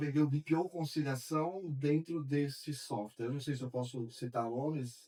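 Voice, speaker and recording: At a moderate pace, a man of medium pitch speaks in an unremarkable speaking voice with ordinary pitch variation. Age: 60s. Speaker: accounting firm owner. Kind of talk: podcast conversation.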